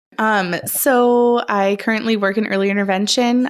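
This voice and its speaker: The recording is very clean, with a silent background. A woman speaks in a Minnesotan accent. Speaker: speech-language pathologist, podcast co-host. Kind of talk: casual chat.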